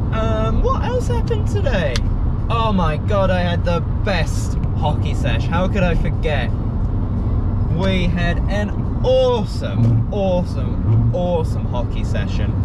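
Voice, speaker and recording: The speech comes at a fairly slow pace, with a dry sound with no echo under loud background noise. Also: man. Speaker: primary school teacher. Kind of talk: casual vlog chat. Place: car. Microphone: phone near.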